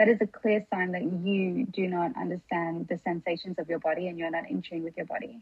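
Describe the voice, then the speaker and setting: This woman talks at a moderate pace. She has an Australian accent. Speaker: podcast guest, wellness creator. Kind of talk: casual chat.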